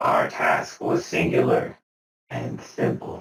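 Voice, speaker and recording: A man uses a put-on character voice with a solemn tone. He speaks at a fairly slow pace. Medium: actual play. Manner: slow, formal, solemn.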